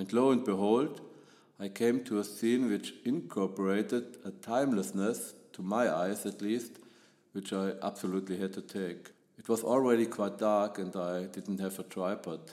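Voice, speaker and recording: A man with a German accent speaks at a fairly low pitch and moderate pace, his tone dark and mellow and his intonation fairly even. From Germany. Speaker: photographer. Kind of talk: podcast monologue.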